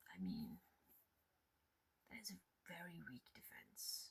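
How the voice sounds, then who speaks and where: Soft-spoken and relaxed in tone, a woman is talking. Her pace is very slow. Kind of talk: ASMR show and tell ramble; casual talk to camera. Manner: soft-spoken, relaxed.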